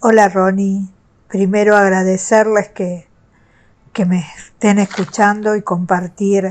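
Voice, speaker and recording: A woman's medium-pitched, monotone, flat delivery at a very slow pace over a quiet background. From Argentina. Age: 60s. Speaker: retired teacher sharing abuse experience. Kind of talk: personal testimony. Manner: some hesitation fillers.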